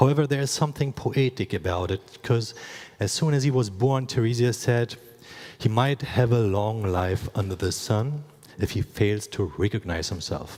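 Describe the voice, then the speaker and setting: A man of medium pitch with a German accent speaks at a moderate pace, somewhat breathy, with ordinary pitch variation. The recording is very clean with a silent background. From Eastern Germany. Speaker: creative studio founder and former robot dancer. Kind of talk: conference talk.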